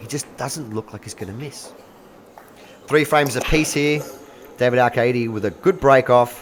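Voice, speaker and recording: A man of medium pitch with an Australian accent, ordinary pitch variation, a moderate pace and long, frequent pauses. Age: 40s. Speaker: pool commentator. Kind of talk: live commentary. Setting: live stream. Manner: animated.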